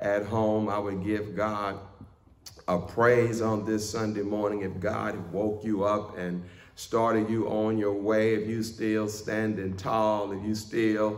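A man speaks very slowly at a fairly low pitch. His intonation is monotone and flat. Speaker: pastor. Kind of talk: sermon. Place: church.

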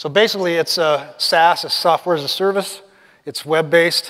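A man at a fairly quick pace with fairly even intonation over a quiet background. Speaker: conference presenter. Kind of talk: presentation talk. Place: hall. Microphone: lapel.

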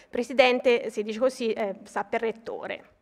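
Over a quiet background, a woman talks at a moderate pace with a Tuscan accent. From Tuscany, Pistoia; Tuscany. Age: 40s. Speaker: mathematics professor and university vice president; mathematics professor. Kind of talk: ceremonial speech. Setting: stage with audience. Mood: warm, formal, slightly personal. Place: hall. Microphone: podium.

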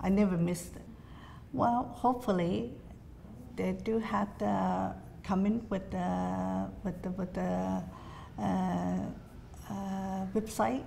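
A woman with a very deep, low pitch and a dark, mellow tone speaks at a very slow pace, with very wide pitch swings. Long, frequent pauses break up her speech over light background noise. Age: old. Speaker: Chinese association elder. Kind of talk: oral history interview answer. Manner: hesitant, many fillers. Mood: warm, reflective, gently animated. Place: hall.

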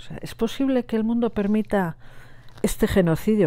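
The background is quiet as a woman talks. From Basque Country, Gipuzkoa; Basque Country. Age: 60s. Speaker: nurse and Sahrawi cause activist; interviewee. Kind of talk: interview testimony. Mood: earnest, emotional recollection. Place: home room.

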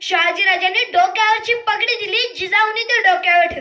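A raised, projected voice with a passionate, bright and sharp tone. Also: woman. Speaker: devotional lecturer and public speaker on Shivaji. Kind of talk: dramatic storytelling speech about a queen mother. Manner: passionate, emphatic, oratorical.

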